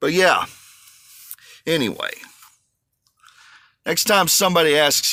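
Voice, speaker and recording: A man with a Southern US accent has a bright, sharp tone and a moderate pace. The recording is very clean, with a silent background. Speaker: truck driver vlogger. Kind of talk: casual vlog monologue. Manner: animated, ranting.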